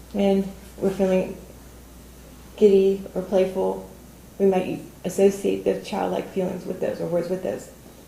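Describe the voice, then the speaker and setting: Speaking at a fairly slow pace with long, frequent pauses, a woman is heard with audible room echo. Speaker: toastmasters club member giving a speech. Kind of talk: prepared speech. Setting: studio with audience.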